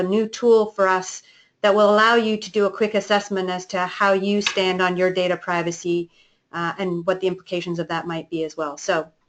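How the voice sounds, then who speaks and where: A woman with a Canadian accent speaks fairly quickly at a medium pitch, her intonation monotone and flat, over a quiet background. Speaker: company executive hosting a webinar. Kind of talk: webinar presentation.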